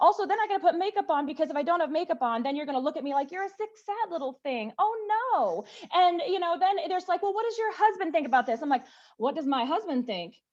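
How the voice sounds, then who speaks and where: A woman with an American accent talks very fast in an animated tone. Her extremely high voice swings very widely in pitch. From US South. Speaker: activist. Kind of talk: panel discussion.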